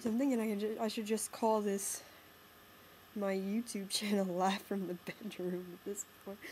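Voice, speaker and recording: At a moderate pace, the speaker sounds somewhat breathy with a monotone, flat intonation. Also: woman, medium pitch for a woman. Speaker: college student. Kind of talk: casual talk to camera. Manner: rambling, hesitant.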